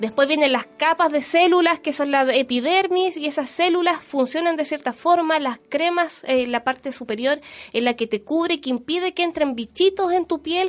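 With a Chilean accent, a woman speaks at a high pitch, a moderate pace and ordinary pitch variation. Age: 30s. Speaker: beauty blogger. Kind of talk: casual chat. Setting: studio.

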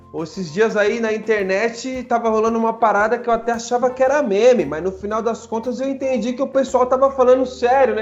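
With hardly any pauses, a man talks at a fairly quick pace in an extremely high pitch, with ordinary pitch variation and noticeable background noise. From Brazil, Guarulhos (São Paulo). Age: 30s. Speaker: political candidate for city council. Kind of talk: podcast interview. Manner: casual, slangy.

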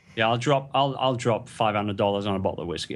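This man talks at a very fast pace with vocal fry. His pitch is fairly low and varies in an ordinary way. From England. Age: 40s. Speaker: entrepreneur. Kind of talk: interview. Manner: animated.

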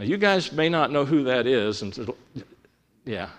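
A man at medium pitch and moderate pace, with vocal fry and very wide pitch swings. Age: 60s. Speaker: preacher. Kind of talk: sermon. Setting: church.

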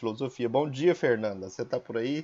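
The man's pitch is medium. He talks at a very fast pace. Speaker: teacher hosting school podcast. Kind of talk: interview.

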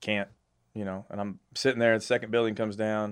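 A man with a Texan accent talks at a very fast pace in a flat monotone. The background is quiet. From Texas. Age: 40s. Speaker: navy veteran, industry sales professional. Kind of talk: casual chat.

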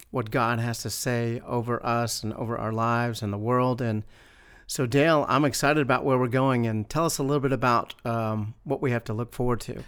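A man with a plain, everyday voice, medium in pitch, fairly even in intonation and moderate in pace, on a very clean recording with a silent background. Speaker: church minister podcast host. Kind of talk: casual faith discussion. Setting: church campus.

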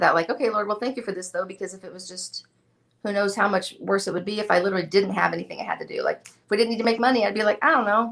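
Very fast and with vocal fry, a woman speaks at a medium pitch using fairly even intonation. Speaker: furniture painter and video creator. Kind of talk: casual interview chat.

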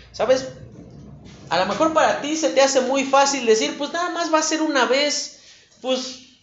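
Audible room echo and noticeable background noise surround a man whose pitch is extremely high. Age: 30s. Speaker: preacher. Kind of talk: sermon.

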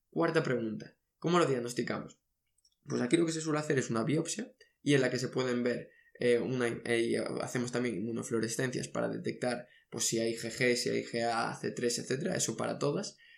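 This man talks at a moderate pace in an unremarkable speaking voice. His pitch sits in the middle range, with ordinary pitch variation. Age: 20s. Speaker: medical education podcaster. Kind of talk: lecture.

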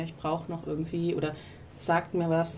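Somewhat breathy and fairly low-pitched, a woman with a dark, mellow tone talks at a fairly quick pace amid audible room echo. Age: 30s. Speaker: podcast co-host, career mentor. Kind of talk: casual chat. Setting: outdoors on a balcony.

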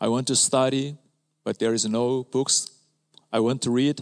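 With a Korean accent, a man speaks at a fairly slow pace and a medium pitch, leaving long, frequent pauses. His loudness is very even, his intonation fairly even, and the sound is dry and close with no echo. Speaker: pastor. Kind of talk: sermon. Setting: church.

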